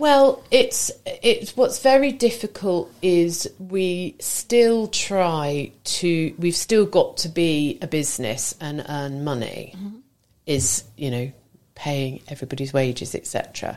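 Speaking at a very slow pace, a woman with a fairly low pitch makes very wide pitch swings and big swings in loudness. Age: 40s. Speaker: florist and small business owner. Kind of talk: casual radio interview.

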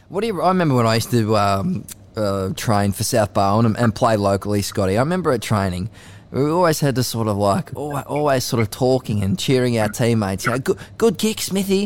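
Speaking at a fairly quick pace, a man with an Australian accent uses lively intonation at medium pitch and keeps his loudness very even. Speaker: sports journalist and podcast host. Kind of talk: casual chat. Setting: studio.

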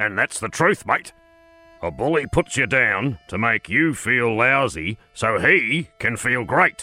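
A man's put-on character voice at medium pitch and a fairly slow pace, with faint music in the background. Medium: read story. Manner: calls everyone mate, measured.

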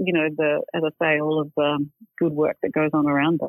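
A woman's fairly low-pitched voice with an Australian accent. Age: 50s. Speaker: magazine editor. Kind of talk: interview.

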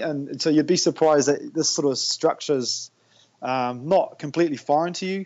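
An enthusiastic man with a New Zealand accent, fairly quick and fairly high-pitched, with ordinary pitch variation. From New Zealand, Tauranga. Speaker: high school PE and health teacher. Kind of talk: casual interview.

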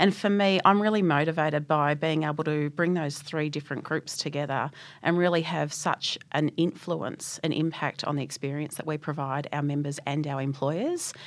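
Fairly even intonation carries this voice, which has an Australian accent. The recording is very clean, with a silent background. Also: woman. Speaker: technology executive. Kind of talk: interview.

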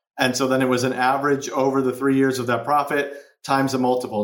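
A man talks at a very fast pace with an American accent. There is audible echo from the room. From US Midwest, Chicago. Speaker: entrepreneur, marketing agency co-founder. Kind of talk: interview.

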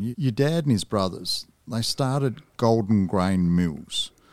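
Recorded very cleanly over a silent background, a man speaks at a moderate pace. His pitch is medium. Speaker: podcast interviewer. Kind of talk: interview. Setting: studio.

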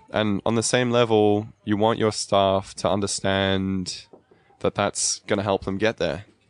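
A man speaks in a fairly low, flat monotone at a very even loudness. The sound is dry and close, with no echo. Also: fairly slow pace. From South Africa (Cape Town), raised in Australia. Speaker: coffee roaster. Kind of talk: interview.

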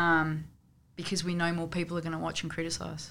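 The recording is very clean and the background silent. A woman with an Australian accent talks at a fairly low pitch. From Canberra, Australia. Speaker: football coach. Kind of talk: casual chat.

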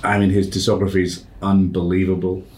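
A man speaks at a moderate pace with a very deep, low pitch. Audible room echo surrounds the voice. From Malaysia. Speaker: podcast host. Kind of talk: interview conversation.

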